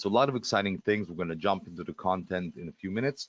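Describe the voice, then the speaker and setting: The speaker has a non-native accent. Pitch variation is ordinary. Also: man. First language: Russian. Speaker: webinar presenter. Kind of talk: live sales webinar. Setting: live webinar. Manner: fast; hesitant, many fillers.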